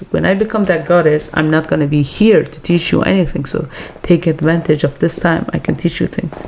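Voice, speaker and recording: A woman with a non-native accent speaks in a very deep, low pitch at a fairly quick pace, with ordinary pitch variation and noticeable background noise. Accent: foreign. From Iran. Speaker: podcast co-host. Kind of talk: casual chat.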